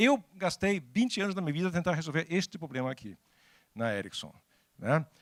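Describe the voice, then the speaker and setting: A man with a Danish accent speaks at a fairly quick pace in a high voice. His pitch swings very widely, and the recording is very clean with a silent background. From Denmark. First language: Danish (speaking Portuguese). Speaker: technology executive and speaker. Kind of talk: talk to an audience. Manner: halting.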